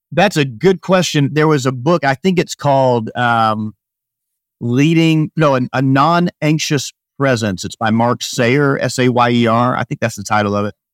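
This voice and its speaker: Recorded very cleanly against a silent background, a man with an American accent uses an ordinary speaking voice at medium pitch with ordinary pitch variation, the sound dry and close with no echo. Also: moderate pace. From Northwest Arkansas, US South. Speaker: emergency physician. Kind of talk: interview conversation.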